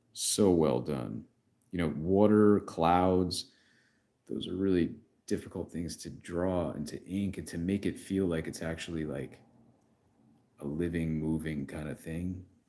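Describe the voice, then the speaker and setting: In a New York accent, a man speaks with a very deep, low pitch. His tone is dark and mellow, with long, frequent pauses. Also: ordinary pitch variation, fairly slow pace. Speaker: comic artist. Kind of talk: live stream comic book review. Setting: YouTube live stream. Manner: casual, filler-heavy.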